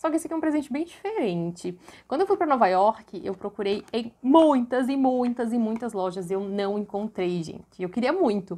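Speaking at a moderate pace with hardly any pauses, a woman uses a fairly high, dark, mellow voice with very wide pitch swings. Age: 20s. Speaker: YouTuber. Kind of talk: vlog haul presentation. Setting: bedroom at home. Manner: animated. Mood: cheerful, enthusiastic. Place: home room. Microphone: lapel.

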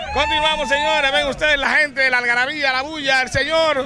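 A man raises and projects his voice over crowd noise, the sound dry without echo. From Dominican Republic. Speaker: local TV reporter. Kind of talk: on-location news report. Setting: outdoors at a protest march. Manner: animated. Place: street. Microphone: handheld.

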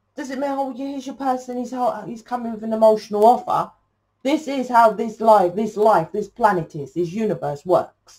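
With a dark, mellow tone and somewhat breathy delivery, a woman speaks at a moderate pace in a fairly high pitch and lively intonation. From England. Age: 40s. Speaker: tarot reader. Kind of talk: tarot reading monologue. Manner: rambling, halting with fillers. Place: home room. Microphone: camera far.

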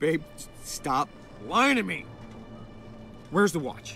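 Over faint background music, a man puts on a character voice with vocal fry, a bright, sharp tone, big pitch swings and a slow pace. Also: fairly high pitch for a man.

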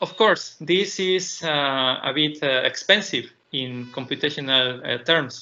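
A man talks at a very slow pace with a Spanish accent. His pitch varies in an ordinary way. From Mexico. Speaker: PhD student and tech speaker; conference presenter. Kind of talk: technical conference talk. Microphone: video call.

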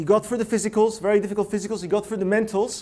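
A man's high-pitched voice with an animated tone. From Russia (Leningrad), emigrated. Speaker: innovation consultant and speaker. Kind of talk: TEDx-style talk. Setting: stage with live audience. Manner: animated, interactive. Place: hall. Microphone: lapel.

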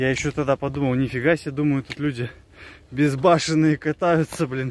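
The voice shows ordinary pitch variation, and the sound is dry with no echo. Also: man. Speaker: hiker vlogger. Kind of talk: casual vlog chat. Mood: amazed, excited. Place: forest. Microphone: phone near.

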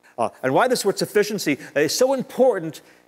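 Music plays in the background as a man talks at a moderate pace. His pitch swings very widely. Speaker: preacher. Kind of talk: sermon. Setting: synagogue with congregation. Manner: earnest, persuasive preaching with emphatic repetition. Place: church. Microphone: lapel.

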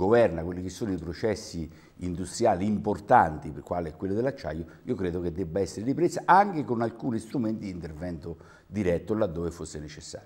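Here a man talks. Lively intonation runs through his delivery. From Terni, Umbria, central Italy; Umbria. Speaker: regional councillor. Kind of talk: televised political debate. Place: studio. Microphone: lapel.

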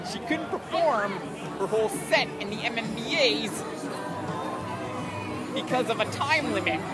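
A man at a fairly slow pace, dry sound with no echo and music in the background. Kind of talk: casual vlog chat. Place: street. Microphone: phone near.

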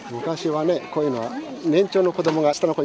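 A man is heard in a dry recording with no echo, with crowd noise in the background. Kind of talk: interview answer. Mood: warm, reflective. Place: open country.

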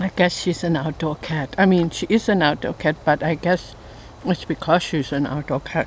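Over light background noise, a woman talks at a moderate pace in a fairly low voice with ordinary pitch variation and a dry sound with no echo. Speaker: home gardener vlogger. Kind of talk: casual vlog chat. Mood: cheerful, playful. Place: forest. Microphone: phone near.

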